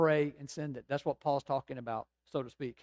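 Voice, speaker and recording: A man with an American accent speaks at a moderate pace and medium pitch. His intonation is monotone and flat, with a dry, close sound and no echo. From Georgia, US South. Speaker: pastor. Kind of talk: sermon.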